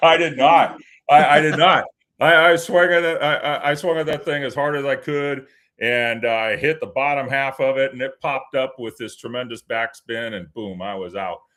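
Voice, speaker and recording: Speaking in a normal speaking voice, a man with a fairly high pitch keeps a moderate pace and ordinary pitch variation. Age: 50s. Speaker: anthem singer at hockey games. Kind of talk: casual interview chat. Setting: live show.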